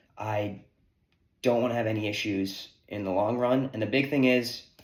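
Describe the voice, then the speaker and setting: Intonation stays fairly even. The delivery is in a normal speaking voice. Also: man. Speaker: sports betting YouTuber. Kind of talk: explainer monologue to camera. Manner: casual, with many fillers.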